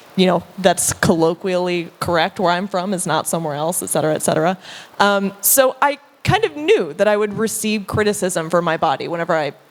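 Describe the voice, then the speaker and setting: A woman at a fairly quick pace and medium pitch, ordinary pitch variation, with noticeable background noise. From US Deep South. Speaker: content creator, panelist. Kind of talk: panel discussion.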